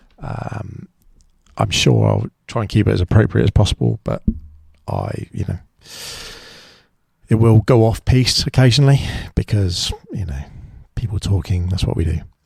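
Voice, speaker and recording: A man with a fairly low voice speaks at a moderate pace with lively intonation and long, frequent pauses, the sound dry and close with no echo. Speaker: podcast host. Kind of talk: solo podcast monologue. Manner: halting.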